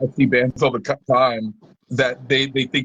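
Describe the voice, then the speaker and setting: Fairly slow speech comes through in a somewhat breathy voice. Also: man. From Kansas. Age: 40s. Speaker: touring musician. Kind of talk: interview.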